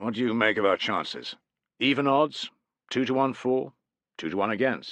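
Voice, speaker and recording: Using a gruff put-on character voice, a man speaks at medium pitch and a moderate pace with ordinary pitch variation and long, frequent pauses over a quiet background. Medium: read story. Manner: matter-of-fact, gruff.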